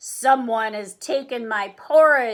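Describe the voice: Bellowing in a put-on character voice, a woman speaks at a fairly slow pace with a fairly high pitch.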